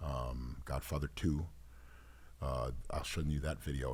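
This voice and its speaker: A man's dark, mellow, somewhat breathy voice at a fairly slow pace. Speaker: singer. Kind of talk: casual chat. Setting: studio. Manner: animated.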